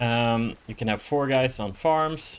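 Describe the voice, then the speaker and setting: Slow-paced and fairly even in intonation, a man with an ordinary speaking voice talks at a medium pitch. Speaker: gaming YouTuber. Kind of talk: live gameplay commentary. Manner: casual with fillers.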